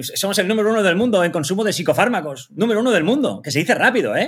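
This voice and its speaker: On a very clean recording with a silent background, a man races along very fast with very wide pitch swings. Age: 50s. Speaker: public speaker. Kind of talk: interview. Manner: halting.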